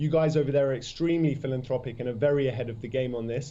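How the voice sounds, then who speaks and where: Speaking in a British accent at a very fast pace, a man keeps to a medium pitch. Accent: British, noticeable. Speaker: startup CEO. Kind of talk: interview. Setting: remote video link from London. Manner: enthusiastic.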